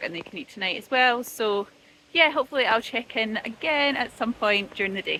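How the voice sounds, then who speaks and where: A woman speaks in a Scottish accent at a fairly quick pace. Her tone is bright and sharp, and her intonation is lively. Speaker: vlogger. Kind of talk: casual vlog talk to camera. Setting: outdoors walking with a buggy.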